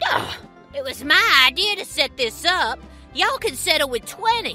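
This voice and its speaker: Over clear background music, a high-pitched put-on character voice speaks at a moderate pace. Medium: audio drama. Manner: brash, bossy.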